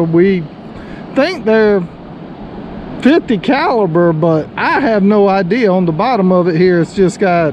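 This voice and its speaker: This woman has a plain, everyday voice, fairly low in pitch with ordinary pitch variation, speaking at a moderate pace in a dry, echo-free recording with light background noise. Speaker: beachcombing vlogger. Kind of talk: casual vlog chat. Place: beach. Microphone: phone near.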